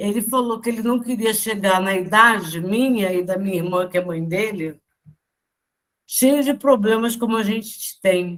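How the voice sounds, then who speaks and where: A woman has an unremarkable speaking voice, medium in pitch with ordinary variation, and speaks at a fairly slow pace. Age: 60s. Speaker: spiritist study group member. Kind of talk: casual group discussion.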